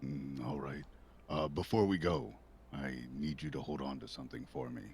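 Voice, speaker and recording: Over clear background noise, a man uses a raspy, put-on character voice pitched very deep and low. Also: moderate pace. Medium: actual play. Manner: terse, few words.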